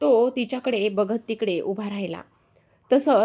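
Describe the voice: Plain reading aloud is what this clip holds.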